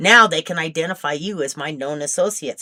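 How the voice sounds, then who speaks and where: A woman puts on a character voice with a fairly low pitch. She speaks at a very fast pace. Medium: read story.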